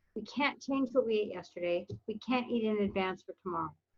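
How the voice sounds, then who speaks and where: An unremarkable speaking voice from a woman with an American accent and ordinary pitch variation. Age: 60s. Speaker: weight loss success story guest. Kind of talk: podcast interview.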